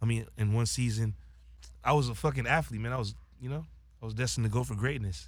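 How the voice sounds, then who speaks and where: A man with an American accent, medium in pitch and somewhat breathy, talking very fast with ordinary pitch variation but long, frequent pauses. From Los Angeles, San Fernando Valley. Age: 20s. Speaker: social media influencer and rapper. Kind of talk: casual chat.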